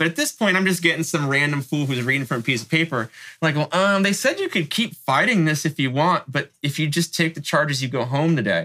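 With an American accent, a man talks at a fairly quick pace in a fairly high pitch with ordinary pitch variation. His tone is bright and sharp, and his loudness stays very even. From San Francisco Bay Area, North Bay. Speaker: graffiti writer. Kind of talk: interview.

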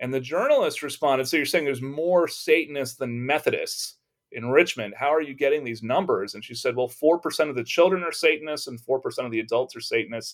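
A man with an American accent at fairly high pitch, very fast pace, hardly any pauses, ordinary pitch variation and big swings in loudness, on a very clean recording with a silent background. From Texas. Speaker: religious studies professor. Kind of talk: interview.

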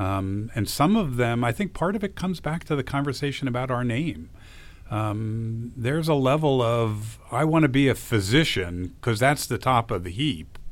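Speaking at a moderate pace with lively intonation, a man with an American accent uses a plain, everyday voice at a medium pitch. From New Jersey. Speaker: physician assistant educator. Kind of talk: interview.

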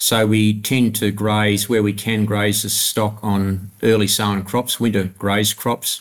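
In a very clean recording with a silent background, a man with a rural Australian accent speaks at a fairly slow pace and fairly low pitch, in a monotone, flat intonation with hardly any pauses and very even loudness. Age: 60s. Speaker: grain farmer. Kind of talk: interview.

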